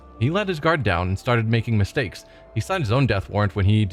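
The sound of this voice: Lively intonation in an unforced reading voice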